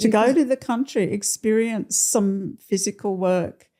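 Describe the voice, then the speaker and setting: A woman's dark, mellow voice in an Australian accent, medium in pitch, with ordinary pitch variation and a very slow pace. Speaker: nurse. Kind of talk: podcast interview answer. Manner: casual, conversational.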